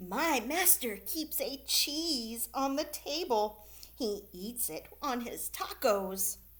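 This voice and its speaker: A woman uses a put-on character voice, high in pitch with very wide pitch swings. She speaks at a very slow pace over light background noise. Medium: read story. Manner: bleating, polite.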